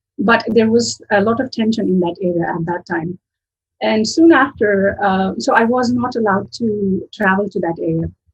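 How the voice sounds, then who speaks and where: A woman speaks in a Kashmiri accent at a medium pitch and a moderate pace. Her voice has vocal fry and ordinary pitch variation. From Kashmir, Srinagar. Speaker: linguistics professor. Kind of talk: interview. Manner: hesitant, many fillers.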